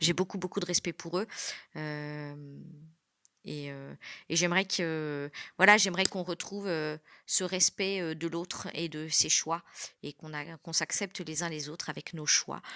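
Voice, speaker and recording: On a very clean recording with a silent background and a dry, close sound with no echo, a bright, sharp voice moves at a fairly slow pace with long, frequent pauses, fairly even intonation and big swings in loudness. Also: woman, fairly low pitch for a woman. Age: 40s. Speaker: former nurse, adult trainer. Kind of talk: testimony. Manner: hesitant, many filler sounds.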